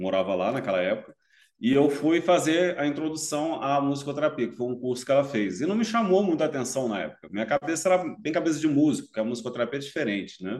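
The speech races along at a very fast pace. Its pitch swings very widely. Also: man, fairly high pitch for a man. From Brasília, Brazil. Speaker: music therapist and musician. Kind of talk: casual chat.

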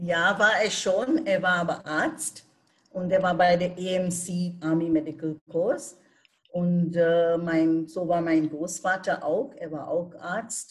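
A woman with a Bengali accent speaks at a very slow pace. Her pitch is fairly low, with ordinary pitch variation. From India. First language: Bengali (speaking German). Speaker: retired German teacher. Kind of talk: interview.

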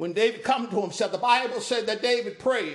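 A high-pitched man speaks at a fairly quick pace in an animated tone. Noticeable background noise sits behind him. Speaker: preacher. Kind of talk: sermon. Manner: animated, call-and-response cadence with repeated phrases; emphatic, rhetorical questions and exclamations.

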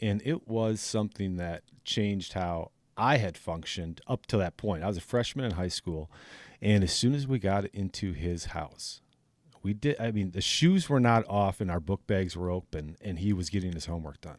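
Speaking with an Upper Midwest accent, a man uses a fairly low pitch with ordinary variation at a moderate pace, on a very clean recording with a silent background. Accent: Upper Midwest American. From northern Wisconsin. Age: 40s. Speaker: podcast host. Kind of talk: casual interview. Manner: animated.

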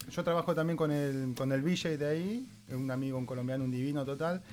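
Speaking in an Argentine accent, a man moves at a fairly quick pace with ordinary pitch variation. The recording is very clean, with a silent background. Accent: Rioplatense Argentine Spanish. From Argentina, Mar del Plata. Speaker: artist running an art workshop. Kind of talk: casual chat. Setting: art workshop.

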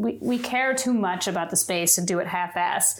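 A woman's fairly high voice moves in very wide pitch swings on a very clean recording with a silent background. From Kentucky. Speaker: bourbon brand co-founder. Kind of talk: casual interview chat. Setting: in-person recording in home studio.

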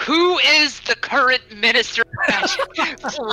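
This put-on character voice is high-pitched and gruff. It moves at a fairly slow pace. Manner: interrogating.

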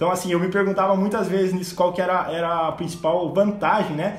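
Fairly quick and delivered with monotone, flat intonation, the speech carries audible room echo. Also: man. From southern Brazil (Rio Grande do Sul). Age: 20s. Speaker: agricultural consultant and company co-founder. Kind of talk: casual podcast interview.

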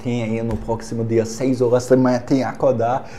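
Over music in the background, a man talks at a medium pitch with a non-native accent. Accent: foreign accent in Portuguese. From Germany. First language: German (speaking Portuguese). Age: 20s. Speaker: exchange student and Instagram personality. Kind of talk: casual chat.

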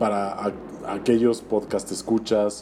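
A man speaks in a Mexican accent. His pitch sits fairly low. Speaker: toy collector. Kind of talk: casual chat.

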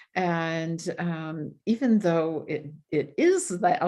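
A woman speaks in an ordinary speaking voice with an American accent, pitched fairly low. Her pitch varies in an ordinary way, against a quiet background. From Michigan (Grand Rapids). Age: 60s. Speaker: retired speech pathologist. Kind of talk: podcast interview.

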